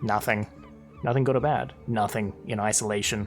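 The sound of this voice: Over clear music in the background, a man uses a put-on character voice pitched fairly low, speaking at a moderate pace.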